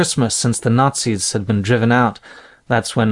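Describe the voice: The clip is plain reading aloud, its intonation fairly even.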